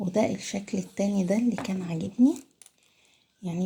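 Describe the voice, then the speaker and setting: Quiet and lively in intonation, a woman with an Egyptian accent talks at a moderate pace. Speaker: cooking channel host. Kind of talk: casual vlog. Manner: quiet, lowered voice.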